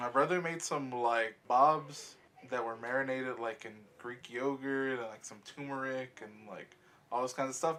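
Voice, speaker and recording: Bright and sharp in tone, a man of medium pitch talks fairly quickly with big swings in loudness. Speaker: podcast host. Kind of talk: casual chat. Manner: low-energy, lulling tone.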